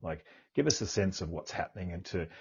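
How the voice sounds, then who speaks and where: Somewhat breathy, a man's voice moves along at a fairly quick pace. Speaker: podcast host, buyer's advocate. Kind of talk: interview question, casual.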